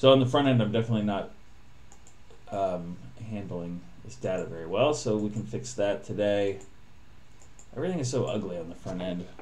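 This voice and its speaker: Amid audible room echo and noticeable background noise, a man with a fairly low pitch speaks at a fairly quick pace with lively intonation, big swings in loudness, and long, frequent pauses. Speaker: programmer live-streaming coding. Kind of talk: live coding stream. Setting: live stream.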